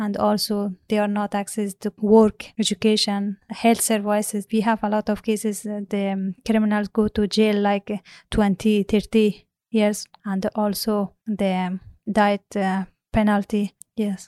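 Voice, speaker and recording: Fairly slow, monotone, flat speech in an Afghan accent, with a dry, close sound and no echo. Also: woman, medium pitch for a woman. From Afghanistan. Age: 30s. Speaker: former judge, student. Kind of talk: interview. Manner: halting, hesitant with fillers.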